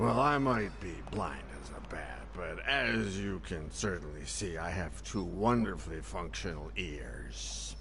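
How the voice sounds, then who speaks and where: Over loud background noise, a man puts on a character voice. He speaks at a fairly slow pace. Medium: video game. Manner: rambling, wry.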